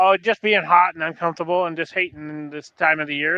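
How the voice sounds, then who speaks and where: A man talks at a fairly quick pace in a fairly high pitch. His intonation is fairly even, and it is a normal speaking voice. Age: 60s. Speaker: podcast co-host. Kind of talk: casual chat.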